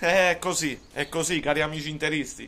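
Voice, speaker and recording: This man's voice is loud and high-pitched. His intonation stays fairly even. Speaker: football commentator and Juventus fan vlogger. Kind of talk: angry rant. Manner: loud, sarcastic and mocking, ranting with emphatic repetition. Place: kitchen. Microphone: phone near.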